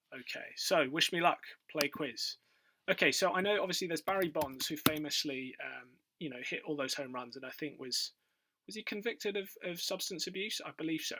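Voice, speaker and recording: A man with a British accent talks at a fairly quick pace in a high pitch, with ordinary pitch variation and a bright, sharp tone. His loudness swings widely, and the recording is very clean with a silent background. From UK. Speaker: quiz video creator. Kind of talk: casual quiz commentary. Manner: hesitant, many fillers.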